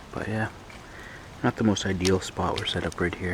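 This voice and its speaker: A quiet man with a very deep, low pitch and fairly even intonation, over noticeable background noise. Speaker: backpacking vlogger. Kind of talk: casual vlog narration. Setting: outdoors.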